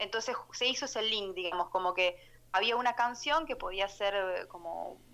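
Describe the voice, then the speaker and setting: A woman talks at a moderate pace and medium pitch. Her tone is bright and sharp, with lively intonation. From Argentina, Catamarca (Valle Viejo). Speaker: singer-songwriter. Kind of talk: radio interview.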